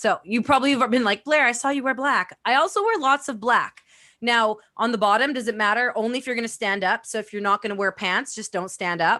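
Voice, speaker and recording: A loud, animated woman's voice, fairly high-pitched with a bright, sharp tone, fairly quick pace and ordinary pitch variation, over a quiet background. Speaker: networking and social media expert. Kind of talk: casual interview.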